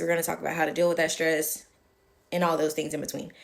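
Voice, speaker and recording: Her voice is a woman's, fairly low in pitch and marked by vocal fry. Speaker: nurse and health video creator. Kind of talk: casual tutorial to camera. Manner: animated, conversational.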